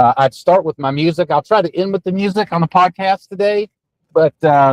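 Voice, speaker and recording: A man's high-pitched voice with an American accent, moderate pace, ordinary pitch variation and a dry, close sound with no echo. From Virginia (Roanoke area). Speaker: podcast host and political candidate. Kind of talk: casual podcast monologue. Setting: in a car on a road trip. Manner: softer voice, trying not to shout; frequent fillers and hesitations.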